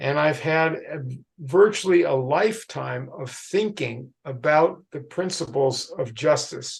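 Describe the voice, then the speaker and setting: Speaking at a very slow pace, a man with a fairly high pitch and vocal fry shows big swings in loudness and ordinary pitch variation. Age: 80s+. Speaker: historian. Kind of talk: lecture.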